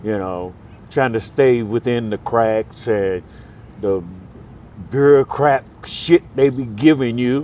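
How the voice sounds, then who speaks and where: A man with an American accent at a medium pitch and a very slow pace, with long, frequent pauses, ordinary pitch variation and noticeable background noise. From US Midwest, Milwaukee, Wisconsin. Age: 60s. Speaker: homeless man. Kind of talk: street interview. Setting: outdoors on a street corner.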